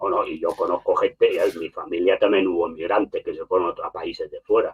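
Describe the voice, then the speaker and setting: A man rushes along at a very fast pace, his loudness swinging widely. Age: 60s. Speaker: political commentator. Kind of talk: heated debate. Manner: animated; halting.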